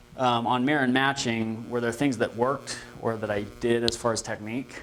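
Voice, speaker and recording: Behind the speech, noticeable background noise is heard. A man's voice sits at a medium pitch. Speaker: real estate trainer. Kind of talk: training class discussion. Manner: fast; energetic.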